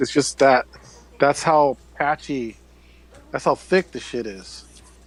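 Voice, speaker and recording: A man with an American accent speaks in a medium pitch amid noticeable background noise. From Northern California, Bay Area. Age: 40s. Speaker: radio show host, guest. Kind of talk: casual chat. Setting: live online show, indoors. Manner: halting, repetitive.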